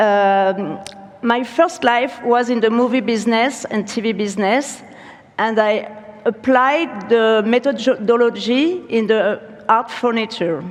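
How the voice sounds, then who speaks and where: A woman speaks in a French accent with a fairly high pitch. Noticeable background noise and audible room echo are present. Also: ordinary pitch variation. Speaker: furniture studio founder and creative director. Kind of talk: conference keynote talk. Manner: halting.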